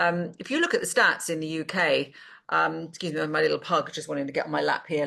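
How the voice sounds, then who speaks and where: A woman speaks at a very fast pace with a British accent. The background is quiet. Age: 60s. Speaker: business advisor and investor. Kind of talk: casual talk to camera. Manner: hesitant with many fillers.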